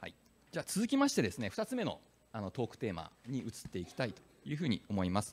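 The speech moves at a very fast pace with big swings in loudness. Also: man. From Fukuoka, Japan. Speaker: panel moderator, business executive. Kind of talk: panel discussion at a conference. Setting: stage with audience. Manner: formal, polite. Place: hall. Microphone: handheld.

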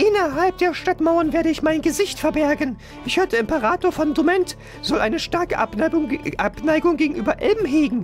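Over music in the background, a put-on character voice speaks at a high pitch and a moderate pace. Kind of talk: reading game dialogue aloud. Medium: solo performance. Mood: cautious.

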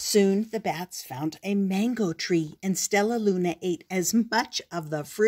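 With ordinary pitch variation, the clip presents an unforced reading voice.

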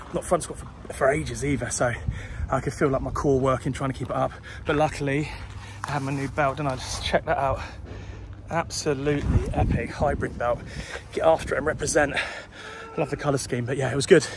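A man speaks at a fairly quick pace. The sound is dry with no echo, and background noise is noticeable. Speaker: fitness vlogger. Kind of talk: casual vlog chat. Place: street. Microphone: phone near.

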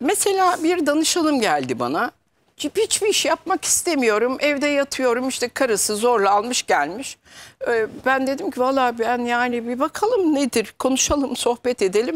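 A woman talks at a moderate pace in a high pitch, her loudness very even. Her pitch swings very widely. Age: 60s. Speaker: metaphysics consultant; guest. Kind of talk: TV talk show interview. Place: studio. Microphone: lapel.

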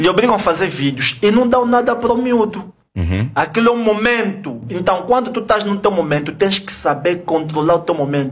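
Over light background noise, a high-pitched man speaks at a fairly quick pace with lively intonation and hardly any pauses. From Angola. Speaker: kuduro musician; podcast guest. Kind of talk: heated debate. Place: studio. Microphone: studio mic.

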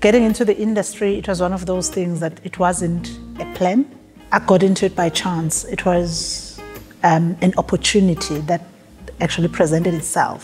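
The speech moves at a moderate pace. Faint music plays in the background. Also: woman, fairly low pitch for a woman, fairly even intonation. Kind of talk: interview answer. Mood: warm, reflective. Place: hall.

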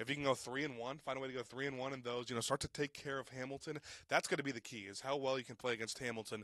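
In a bright, sharp tone, a man speaks at a very fast pace with fairly even intonation, the sound dry and close with no echo. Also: medium pitch for a man. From Cincinnati. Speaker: sports podcast co-host. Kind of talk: sports talk podcast. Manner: filler-heavy, hesitant.

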